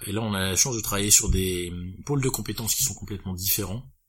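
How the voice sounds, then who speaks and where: A man with a fairly low, somewhat breathy voice speaks with ordinary pitch variation. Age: 30s. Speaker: business owner. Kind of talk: interview.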